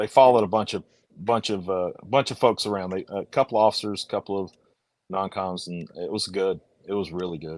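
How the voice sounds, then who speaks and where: A man with an Alabama accent talks at a moderate pace in a fairly low pitch, the sound dry and close with no echo. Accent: Alabama Southern US. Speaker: motorcycle channel host. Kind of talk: casual chat.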